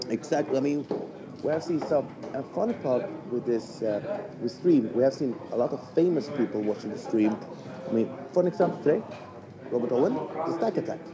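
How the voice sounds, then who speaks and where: Over noticeable background noise, a man with a fairly high pitch and lively intonation talks fairly quickly, leaving long, frequent pauses. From Sweden. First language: Swedish. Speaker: darts stream commentator. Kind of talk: live stream commentary chat.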